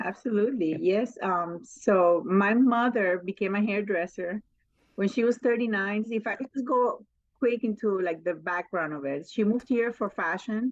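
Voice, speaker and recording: The speaker talks at a moderate pace with a slight Spanish accent and ordinary pitch variation. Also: woman, medium pitch for a woman. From Colombia (Barranquilla), US from age 15. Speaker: mobile salon owner, hairstylist. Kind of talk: podcast interview.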